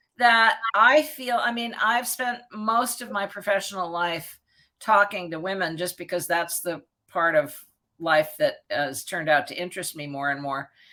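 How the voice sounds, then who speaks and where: A bright, sharp tone with very wide pitch swings at a moderate pace, in a very clean recording against a silent background. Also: woman. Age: 70s. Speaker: journalist and author. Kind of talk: interview.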